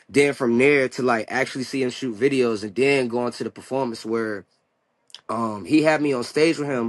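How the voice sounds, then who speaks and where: A man of medium pitch speaks at a moderate pace with fairly even intonation. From Hampton/Newport News, Virginia, US. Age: 30s. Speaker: hip hop artist. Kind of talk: interview. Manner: casual, filler-heavy (like, you know).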